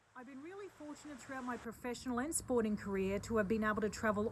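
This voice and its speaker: Amid noticeable background noise, a woman with an Australian accent talks with lively intonation at a fairly high pitch. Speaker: charity board member and business executive. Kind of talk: video self-introduction. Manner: hesitant fillers.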